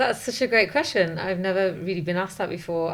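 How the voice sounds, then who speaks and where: This woman has a plain, everyday voice, pitched fairly low, with ordinary pitch variation. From English Midlands, then British Columbia, Canada from age ten. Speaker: lawyer and activist. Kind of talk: interview.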